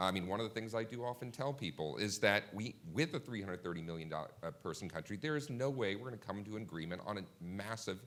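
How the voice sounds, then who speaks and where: A man with an American accent talks at a very fast pace. His voice is fairly low, with lively intonation. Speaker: policy analyst. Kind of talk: panel discussion. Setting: conference stage with audience.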